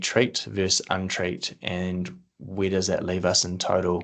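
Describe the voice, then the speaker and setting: A man with a very deep, low pitch, monotone and flat intonation, and a New Zealand accent, against a quiet background. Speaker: agronomy presenter. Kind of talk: webinar presentation. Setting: online webinar. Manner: fast.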